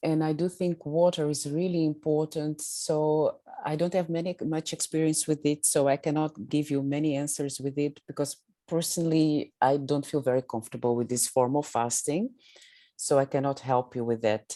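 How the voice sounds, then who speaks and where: With a very deep, low pitch and a dark, mellow tone, a woman speaks at a moderate pace with fairly even intonation. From southeast Africa. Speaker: medical doctor. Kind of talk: Q&A on video call. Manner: hesitant, many fillers.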